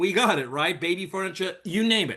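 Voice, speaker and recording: With a New York accent, a man speaks at a fairly quick pace in a high-pitched, bright, sharp tone. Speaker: network marketer, former police officer and firefighter. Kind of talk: sales pitch. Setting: video call. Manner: casual.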